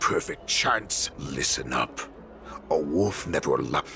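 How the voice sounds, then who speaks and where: Clear background noise is present. Over it, a man does a put-on character voice. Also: fairly slow pace. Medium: video game. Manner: arrogant, mocking.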